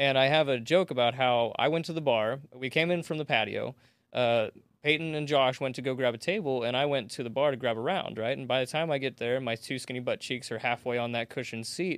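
The speaker has a plain, everyday voice, moving at a fairly quick pace with ordinary pitch variation. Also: man, medium pitch for a man. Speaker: comedian. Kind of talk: casual chat.

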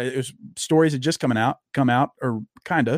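Fairly quick speech with a dry, close sound and no echo, on a very clean recording with a silent background. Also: man. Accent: Southern US. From US South, Louisiana. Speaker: social media personality and author. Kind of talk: casual interview chat.

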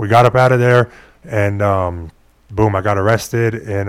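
On a very clean recording with a silent background, a man talks with a fairly low pitch. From Phoenix, Arizona. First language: Spanish. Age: 20s. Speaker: professional boxer. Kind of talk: interview. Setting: studio.

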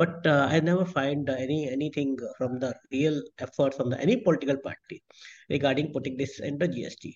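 A somewhat breathy man at a fairly high pitch, fairly quick in pace, with ordinary pitch variation. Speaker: president of a petrol pump dealers' association. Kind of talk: interview. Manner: halting.

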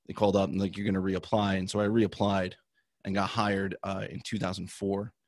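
A man's plain, everyday voice, fairly low in pitch and fairly quick, with an American accent and a quiet background. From New Jersey. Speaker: former Secret Service agent and author. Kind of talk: interview.

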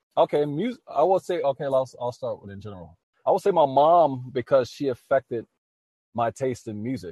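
With an American accent, the speaker has a dark, mellow tone and lively intonation, talking at a moderate pace in a dry, close sound with no echo. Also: man. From US South, New Orleans, Louisiana. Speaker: singer-songwriter and army veteran. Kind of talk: casual interview.

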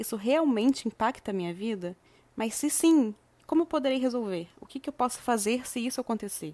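A woman's fairly high voice with lively intonation, in a dry, close sound with no echo. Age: 20s. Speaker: podcast host, self-development. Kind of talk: reflective monologue.

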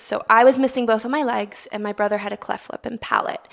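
Speaking very fast, a woman uses a Baltimore accent. Her pitch is high. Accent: American, Baltimore. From US, Baltimore. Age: 20s. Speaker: Paralympic swimmer. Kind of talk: interview.

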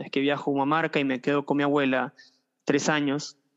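This man speaks at a fairly high pitch. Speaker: rapper and history teacher. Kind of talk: casual interview. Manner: halting, many fillers.

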